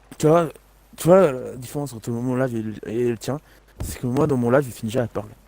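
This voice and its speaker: With a dark, mellow tone at a medium pitch, a man speaks at a fairly quick pace broken by long, frequent pauses. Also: ordinary pitch variation. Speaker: gaming streamer. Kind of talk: casual chat.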